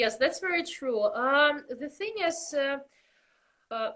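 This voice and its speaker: This woman has a Russian accent, a high pitch, a bright, sharp tone and a fairly slow pace. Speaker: belly dancer, costume maker. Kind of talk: interview.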